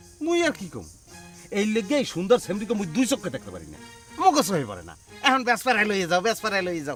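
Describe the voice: A man puts on a character voice, high-pitched and fairly bright, racing along at a very fast pace with very wide pitch swings. Faint music plays in the background.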